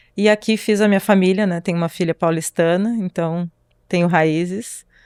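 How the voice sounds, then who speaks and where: A normal speaking voice moves at a moderate pace with fairly even intonation, in a dry, close sound with no echo on a very clean recording with a silent background. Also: woman. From southern Brazil, Pelotas, Rio Grande do Sul. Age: 40s. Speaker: dermatologist. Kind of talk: interview podcast.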